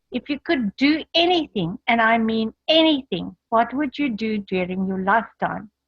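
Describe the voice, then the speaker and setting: Her voice somewhat breathy and fairly high-pitched, a woman talks with lively intonation. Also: moderate pace. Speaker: motivational speaker. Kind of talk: online training presentation.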